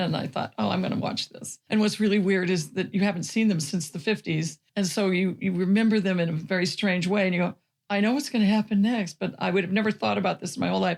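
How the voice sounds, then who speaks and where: A woman with vocal fry and a medium pitch talks at a very fast pace with hardly any pauses and ordinary pitch variation. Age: 70s. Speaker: podcast co-host. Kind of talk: casual chat.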